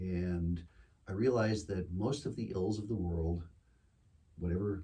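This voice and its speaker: A man speaks with an American accent in a very deep, low pitch. His voice is somewhat breathy with a dark, mellow tone and fairly even intonation. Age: 60s. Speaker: singer-songwriter. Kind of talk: casual chat. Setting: studio with small audience. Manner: hesitant, many fillers.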